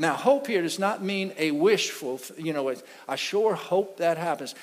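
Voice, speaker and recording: The voice is animated, with very wide pitch swings. The pace is fairly slow. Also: man. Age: 60s. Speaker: pastor. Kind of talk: sermon.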